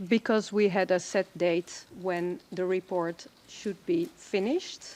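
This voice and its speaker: Recorded with a dry, close sound and no echo, a woman with a Dutch accent speaks very slowly at a medium pitch with ordinary pitch variation. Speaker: expert witness. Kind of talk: witness testimony. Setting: courtroom. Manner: hesitant.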